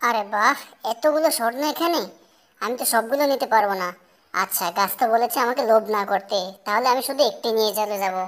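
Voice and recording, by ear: A cartoonish character voice, female-sounding, at a fairly high pitch for a woman and a moderate pace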